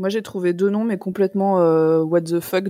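A woman's dark, mellow voice at a moderate pace, monotone and flat in intonation, dry and close with no echo. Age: 30s. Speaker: podcaster. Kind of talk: casual chat.

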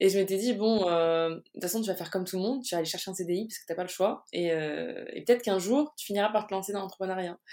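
A woman's medium-pitched voice, dark and mellow, very fast with hardly any pauses, ordinary pitch variation and big swings in loudness. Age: 20s. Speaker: social media consultant. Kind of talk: casual interview. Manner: spontaneous, animated.

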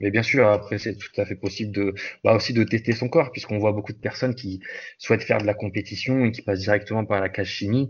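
Breathing somewhat into his words, a man with a fairly low pitch talks at a very fast pace with fairly even intonation. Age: 20s. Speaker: bodybuilder and fitness coach. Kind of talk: casual interview. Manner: halting.

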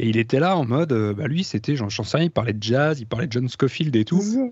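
A man with a medium pitch talks at a fairly quick pace, his pitch swinging very widely. His voice is somewhat breathy, and the background is quiet. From France. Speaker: guitarist. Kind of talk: casual chat.

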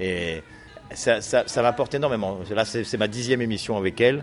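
A man's fairly low voice, a normal speaking voice, with ordinary pitch variation and a moderate pace. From France, Nice. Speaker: comedian. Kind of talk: interview.

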